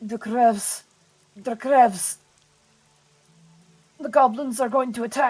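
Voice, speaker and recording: In a put-on character voice, a female-sounding speaker with a fairly high pitch sounds strained, talking at a fairly slow pace with long, frequent pauses. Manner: urgent, pleading.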